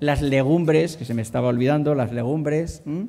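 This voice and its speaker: A man's fairly high voice with ordinary pitch variation and audible room echo. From inland Spain. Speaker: doctor giving a talk on healthy eating. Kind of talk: conference talk. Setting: conference hall with audience. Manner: hesitant, many fillers and repetitions.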